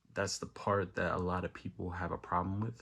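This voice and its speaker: On a very clean recording with a silent background, a man with a very deep, low pitch speaks with an American accent. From New York, the Bronx. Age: 20s. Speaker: rapper. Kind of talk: unscripted personal monologue. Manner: casual, hesitant.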